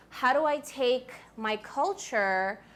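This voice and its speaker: A woman talks in a New York accent. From US Northeast, Queens, New York. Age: 20s. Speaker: author. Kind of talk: talk to a school audience. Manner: casual, animated.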